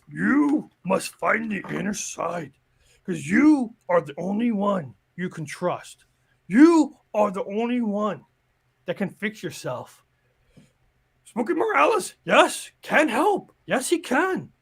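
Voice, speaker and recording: A man's put-on character voice, high-pitched with very wide pitch swings, big swings in loudness and a fairly slow pace. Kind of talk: playful character impression. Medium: game stream. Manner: slow, sage, inverted word order.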